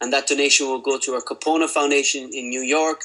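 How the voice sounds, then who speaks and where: In an Irish accent, a man speaks with a bright, sharp tone and monotone, flat intonation. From Ireland. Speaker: lean healthcare consultant. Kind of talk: webinar presentation. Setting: online webinar.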